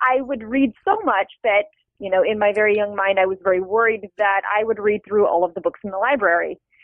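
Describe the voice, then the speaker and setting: A woman in a plain, everyday voice, medium pitch, ordinary pitch variation, and a moderate pace. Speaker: novelist. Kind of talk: interview conversation.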